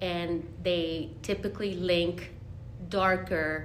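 A woman with a Spanish accent and fairly even intonation, amid noticeable background noise and audible room echo. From Monterrey, Mexico. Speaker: Spanish teacher. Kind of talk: interview.

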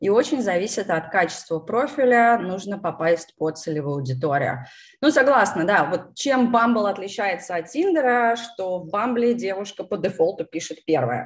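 A woman talks at a moderate pace, and her pitch swings very widely. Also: medium pitch for a woman. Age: 30s. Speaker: YouTube channel host on product management. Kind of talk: casual live-stream interview. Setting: live stream over video call.

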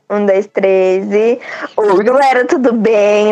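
Noticeable background noise sits behind this recording. A woman speaks at a fairly high pitch. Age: 20s. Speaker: podcast host. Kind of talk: casual chat. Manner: animated. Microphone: laggy internet connection.

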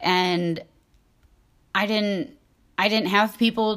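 On a very clean recording with a silent background, a woman at medium pitch talks very slowly with fairly even intonation. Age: 20s. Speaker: podcast host in recovery. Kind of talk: casual monologue. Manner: rambling, hesitant with fillers.

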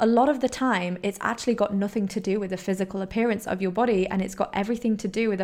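A woman speaks very fast with a British accent. Her pitch sits in the medium range. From Poland and England, mixed upbringing. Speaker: holistic health coach, podcast host. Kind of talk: solo podcast monologue. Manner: animated.

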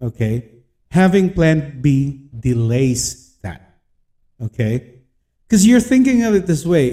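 A man with a dark, mellow tone and a somewhat breathy, fairly high voice speaks fairly slowly, his pitch swinging very widely. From Philippines. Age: 30s. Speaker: podcast host and freelancer. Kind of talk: motivational podcast monologue. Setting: home office.

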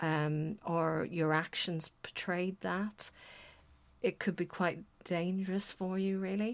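Speaking with a Northern Irish accent, a woman with a medium pitch talks at a fairly slow pace with fairly even intonation on a very clean recording with a silent background. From Northern Irish border. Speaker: writer.

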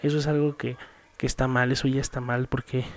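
A man talks at a fairly quick pace in a dark, mellow tone, his medium-pitched voice monotone and flat. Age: 20s. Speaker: podcast host. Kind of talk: solo monologue. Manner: halting with fillers.

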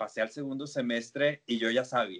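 This man has an unremarkable speaking voice, medium in pitch, and talks at a moderate pace. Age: 20s. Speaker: psychologist and lecturer. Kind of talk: interview.

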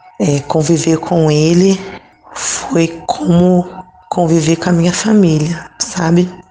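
Over background music, a woman talks at a very slow pace, her intonation fairly even and her loudness very even. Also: fairly low pitch for a woman. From Rio de Janeiro, Brazil (Nilópolis). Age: 30s. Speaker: lay missionary and teacher. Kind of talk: interview testimony.

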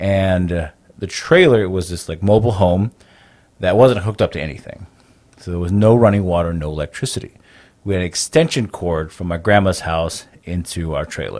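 A man with a Navajo Nation accent speaks at a fairly quick pace. His pitch is very deep and low, with ordinary variation. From Navajo Nation, US Southwest. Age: 30s. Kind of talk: interview conversation, storytelling.

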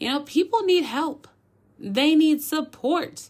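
A woman with an American accent speaks in an animated tone at a moderate pace on a very clean recording with a silent background. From US Midwest, Minneapolis. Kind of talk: casual faith talk / devotional monologue. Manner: animated, chatty.

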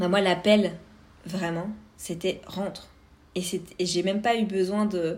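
Delivered at a fairly slow pace with long, frequent pauses, the speech has a monotone, flat intonation. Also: woman, medium pitch for a woman. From France, Vosges (east). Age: 30s. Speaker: podcast host. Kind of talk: personal monologue.

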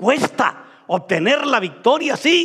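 A man is speaking here. His pace is very slow. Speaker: pastor. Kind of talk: sermon.

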